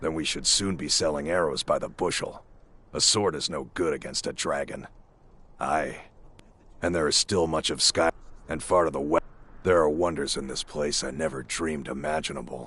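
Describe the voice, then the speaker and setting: Putting on a character voice, a man speaks very deep and raspy at a moderate pace, with long, frequent pauses. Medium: video game. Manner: chatty, warm.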